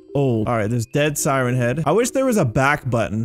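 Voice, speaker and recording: A man speaking at a very fast pace, with music in the background. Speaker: gaming YouTuber. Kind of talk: gameplay commentary. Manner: loud; animated.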